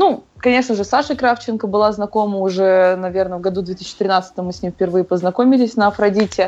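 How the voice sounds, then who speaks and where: A woman speaks in an unremarkable speaking voice at a medium pitch. She talks at a fairly quick pace with ordinary pitch variation. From Moscow, Russia. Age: 20s. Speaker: CrossFit athlete and coach. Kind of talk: interview.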